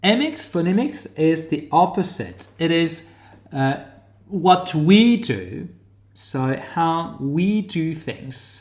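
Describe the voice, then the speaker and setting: With audible room echo, a man speaks very slowly at a high pitch with lively intonation. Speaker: academic teaching research methods. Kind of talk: online lecture tutorial. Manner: hesitant, many fillers.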